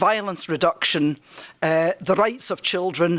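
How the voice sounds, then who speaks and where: Speaking at a moderate pace with a strong Scottish accent, a woman uses a fairly low pitch and ordinary pitch variation. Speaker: project researcher. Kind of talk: conference presentation.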